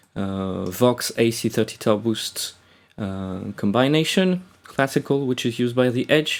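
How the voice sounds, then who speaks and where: In a very clean recording with a silent background, a man with a French accent speaks fairly slowly at medium pitch with ordinary pitch variation. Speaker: guitar tutorial maker. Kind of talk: tutorial. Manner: hesitant, many fillers.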